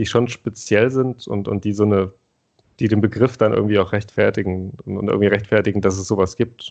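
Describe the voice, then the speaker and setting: Fairly even intonation marks this man's speech. His pitch is fairly low and his pace moderate. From Thuringia, eastern Germany. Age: 30s. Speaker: podcast co-host. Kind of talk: casual conversation.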